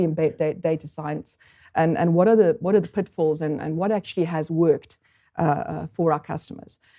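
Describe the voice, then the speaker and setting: Her fairly low voice carries a South African accent, and this woman's intonation stays fairly even. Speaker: statistical consultant. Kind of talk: conference talk. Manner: halting, many fillers.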